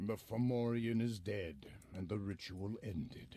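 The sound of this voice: The intonation holds fairly even. The voice reads in an unforced way.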